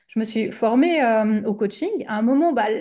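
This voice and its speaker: A woman's fairly high, dark and mellow voice, lively in intonation and moderate in pace, over a quiet background. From Switzerland. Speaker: business coach, former teacher. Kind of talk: interview conversation. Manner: hesitant, many fillers.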